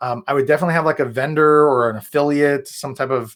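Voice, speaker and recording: A man talks at a fairly quick pace in an energetic tone. The background is quiet. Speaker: real estate coach. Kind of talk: live webinar training. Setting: livestream with screen share. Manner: fast. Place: home room.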